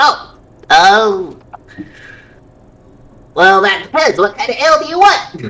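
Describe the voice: A woman's put-on character voice, medium in pitch with big pitch swings and a bright, sharp tone, slow, amid audible room echo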